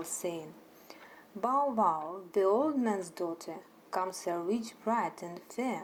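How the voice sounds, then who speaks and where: With a Russian accent, the speaker talks at a very slow pace using lively intonation. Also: woman. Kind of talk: sleep story. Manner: soft-spoken.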